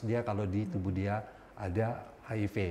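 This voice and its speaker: Somewhat breathy and dark, mellow in tone, the man talks with fairly even intonation. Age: 50s. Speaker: HIV outreach worker living with HIV. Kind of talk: talk show interview.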